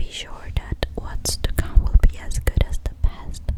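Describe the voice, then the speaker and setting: Over noticeable background noise, a very slow whisper can be heard. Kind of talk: ASMR ramble to camera. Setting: home recording, studio microphone. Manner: whispered.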